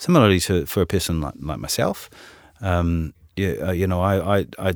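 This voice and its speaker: A man with a New Zealand accent speaks at a moderate pace in a very deep, low pitch. The recording is very clean, with a silent background. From New Zealand, Auckland. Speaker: head of asset management, investment executive. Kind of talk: interview conversation. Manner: hesitant, filler-heavy.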